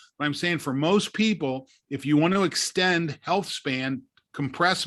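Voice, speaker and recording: Recorded very cleanly with a silent background, a man with a plain, everyday voice speaks at a moderate pace in a fairly high pitch with ordinary pitch variation. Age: 60s. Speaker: longevity science company director. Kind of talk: podcast interview.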